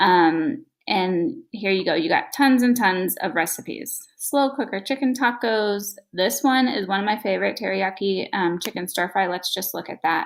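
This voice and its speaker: A woman's ordinary speaking voice at medium pitch, with lively intonation, a moderate pace and hardly any pauses. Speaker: fitness and meal planning vlogger. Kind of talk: screen-share tutorial. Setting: at home. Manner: casual with many fillers.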